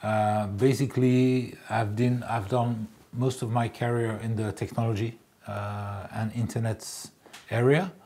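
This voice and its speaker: A man with a French accent, medium pitch and a dark, mellow tone, at a fairly slow pace with fairly even intonation. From France. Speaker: public relations specialist. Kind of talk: interview monologue. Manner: halting, many fillers.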